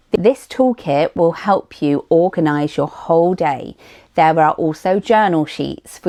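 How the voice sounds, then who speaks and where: Dry and close with no echo, a woman speaks at a fairly slow pace in a dark, mellow tone, her pitch fairly low with ordinary variation. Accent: British. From United Kingdom. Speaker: vlogger. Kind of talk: tutorial.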